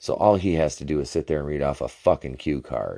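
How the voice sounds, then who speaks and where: A man speaks at a very deep, low pitch with vocal fry and a dark, mellow tone. The background is quiet. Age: 30s. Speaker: podcast host and independent wrestler. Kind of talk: casual solo review and rant. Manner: frequent filler words and self-interruptions.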